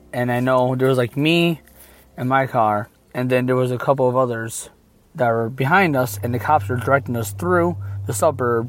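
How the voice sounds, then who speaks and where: A man with an unremarkable speaking voice talks at a moderate pace with a medium pitch. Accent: American. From Michigan. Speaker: caller. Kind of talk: recorded personal story.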